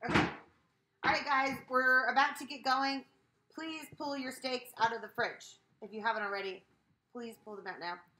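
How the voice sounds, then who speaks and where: A woman's high, raised, projected voice with ordinary pitch variation, big swings in loudness and long, frequent pauses. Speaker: cooking stream host. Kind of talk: live cooking stream. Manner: fast; casual, chatty.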